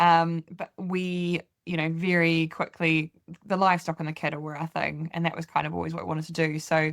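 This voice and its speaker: A woman talks at a fairly quick pace in a New Zealand accent, her intonation flat and monotone. The sound is dry and close, with no echo. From New Zealand, Canterbury. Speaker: farmer. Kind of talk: interview. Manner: hesitant, many fillers.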